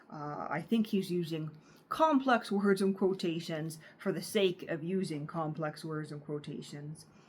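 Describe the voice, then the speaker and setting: A woman with a Canadian accent talks at a fairly slow pace in a somewhat breathy, fairly low voice, her pitch varying in an ordinary way. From Canada. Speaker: book reader, channel host. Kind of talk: reading aloud; casual commentary. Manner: halting, many filler uhs.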